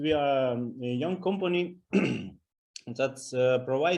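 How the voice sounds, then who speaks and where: A man speaks very slowly in a Russian accent. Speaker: business partner, security company. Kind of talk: self-introduction in business meeting. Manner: halting, struggling for words.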